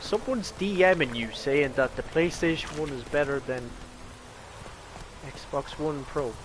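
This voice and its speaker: A fairly high-pitched man with an Irish accent at a fairly slow pace, with ordinary pitch variation, long, frequent pauses and noticeable background noise. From Ireland. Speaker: gaming streamer. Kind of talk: casual chat. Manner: casual.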